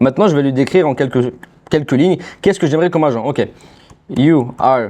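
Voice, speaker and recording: A man at a very fast pace, with a dark, mellow tone, very even loudness and ordinary pitch variation. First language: not French (speaking French). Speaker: AI agency owner, YouTuber. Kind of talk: tutorial. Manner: casual, conversational.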